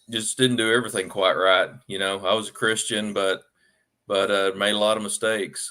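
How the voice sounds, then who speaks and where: A bright, sharp tone with monotone, flat intonation comes through in an Arkansas accent. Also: man. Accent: Southern US (Arkansas). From Arkansas, US South. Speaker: author. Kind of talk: podcast interview. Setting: livestream podcast.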